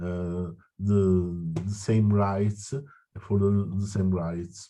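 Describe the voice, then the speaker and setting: At a very slow pace, a man with an Italian accent speaks at a fairly low pitch in a dark, mellow tone against a quiet background. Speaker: citizen activist. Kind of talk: meeting discussion. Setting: video call. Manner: halting.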